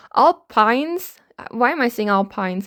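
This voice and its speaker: A woman speaks with a non-native accent at a moderate pace. Her pitch is fairly high, on a very clean recording with a silent background. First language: not English. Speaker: F1 commentary vlogger. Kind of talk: comedic commentary.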